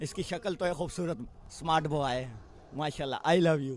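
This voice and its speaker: A man's voice sits fairly high in pitch. Background music runs beneath him. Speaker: political supporter. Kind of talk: street interview. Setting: outdoors at beach rally.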